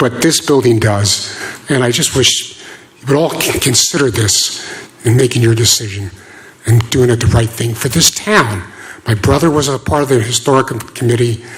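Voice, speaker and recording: Noticeable background noise behind a man's moderately paced, medium-pitched speech with ordinary pitch variation. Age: 60s. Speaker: local resident giving public comment. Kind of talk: public comment at town meeting.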